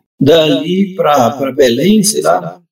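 A man's high-pitched voice. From Brazil, southern Pará (Amazon region). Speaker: writer. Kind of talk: casual chat. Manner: halting, repeats words.

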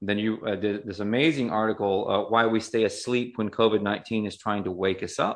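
A man with an American accent speaks at a fairly quick pace with hardly any pauses. His pitch is fairly low. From US South, Appalachia. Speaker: podcast host. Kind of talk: interview conversation. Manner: halting, frequent repetitions.

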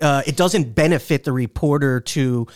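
A man with a plain, everyday voice, fairly high in pitch, speaks at a fairly slow pace with ordinary pitch variation, in a dry, close sound with no echo and a very clean recording over a silent background. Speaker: senior writer and foreign policy reporter. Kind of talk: casual chat. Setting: studio.

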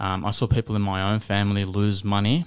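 Against a quiet background, a man with an Australian accent speaks at a fairly quick pace in a fairly low pitch. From Australia, Western Sydney. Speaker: broadcaster and property investor. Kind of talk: casual interview chat.

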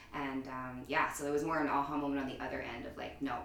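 A woman with a Canadian accent at a fairly quick pace, amid noticeable background noise and audible room echo. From Canada, Edmonton. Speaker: yoga studio owner and instructor. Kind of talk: casual interview chat.

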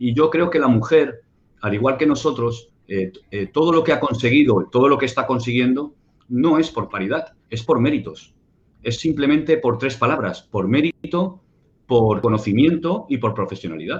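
Somewhat breathy, a man speaks at a medium pitch with lively intonation. He keeps a moderate pace. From Spain, Barcelona. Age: 50s. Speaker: security consultant and ex-soldier. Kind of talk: interview. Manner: halting.

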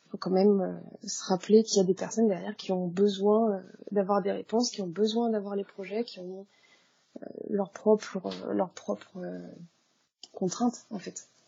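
A woman's medium-pitched, flat, monotone voice at a moderate pace, with long, frequent pauses and big swings in loudness. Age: 20s. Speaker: freelance graphic designer. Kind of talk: casual interview. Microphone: poor sound quality.

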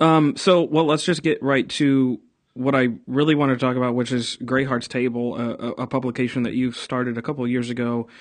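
Against a quiet background, a man with an unremarkable speaking voice at medium pitch talks at a fairly quick pace, with fairly even intonation and hardly any pauses. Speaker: pastor and podcast host. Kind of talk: casual interview conversation.

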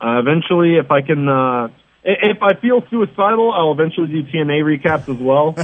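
An unremarkable speaking voice from a man with an American accent, fairly high pitch, lively intonation and a fairly quick pace. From New York City. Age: 30s. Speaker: wrestling columnist. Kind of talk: interview.

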